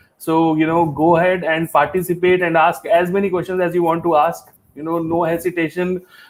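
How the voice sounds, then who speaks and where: Talking at a fairly quick pace, a man uses a high pitch and monotone, flat intonation. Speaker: IT security trainer. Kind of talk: live-streamed training lecture. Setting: YouTube live stream. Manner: filler-heavy, many 'you know' and 'uh'.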